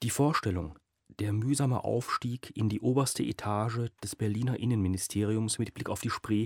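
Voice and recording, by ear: Over a quiet background, someone reads aloud in a natural voice with fairly even intonation.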